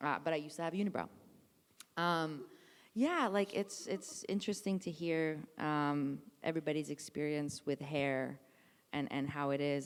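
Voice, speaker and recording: On a very clean recording with a silent background, a woman with a very deep, low pitch talks at a moderate pace, with ordinary pitch variation and long, frequent pauses. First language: not English. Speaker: actor. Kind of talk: post-show talkback. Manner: halting, many fillers and restarts.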